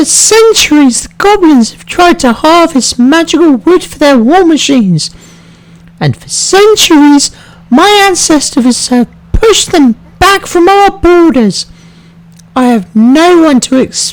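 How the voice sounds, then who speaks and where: This is a man in a put-on character voice. It is squeaky and extremely high in pitch, at a fairly slow pace. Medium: fan dub.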